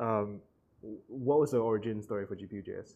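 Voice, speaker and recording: Heard on a very clean recording with a silent background, a man speaks in a medium pitch with a dark, mellow tone. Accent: Singaporean. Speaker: podcast host. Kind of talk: casual interview.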